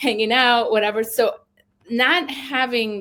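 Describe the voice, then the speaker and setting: A woman with a Spanish accent. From Cali, Colombia, then New York from age 8. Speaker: author. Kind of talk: interview. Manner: animated, filler-heavy casual speech.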